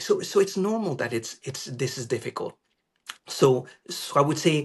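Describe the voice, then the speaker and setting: A somewhat breathy man at a moderate pace, with very wide pitch swings. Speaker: professional trader, trading psychology author. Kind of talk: interview. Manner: halting, repeated words.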